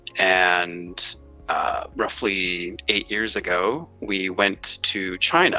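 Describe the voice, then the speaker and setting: Music plays behind a man speaking in a very deep, low voice. His delivery is very slow and monotone, with flat intonation. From United States. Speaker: former expat. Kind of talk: interview. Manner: halting.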